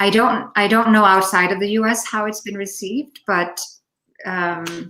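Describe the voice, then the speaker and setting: Speaking at a very slow pace, a woman with a Finnish accent has a medium pitch and a bright, sharp tone. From Denmark. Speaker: poet. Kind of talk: Q&A discussion. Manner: halting.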